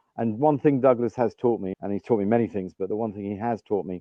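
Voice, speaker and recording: A fairly low-pitched man with an English accent and ordinary pitch variation. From England. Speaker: business leader. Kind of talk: podcast interview.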